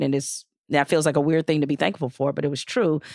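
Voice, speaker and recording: A woman with an American accent and a very deep, low pitch speaks with ordinary pitch variation, the sound dry and close with no echo in a very clean recording over a silent background. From Detroit, Michigan. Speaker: podcast co-host, former journalist. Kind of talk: casual chat.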